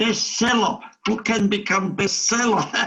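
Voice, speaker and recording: A man with a German accent, bright and sharp in tone, at a very slow pace. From Germany. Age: 80s+. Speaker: Holocaust survivor. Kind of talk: interview answer. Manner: positive, upbeat.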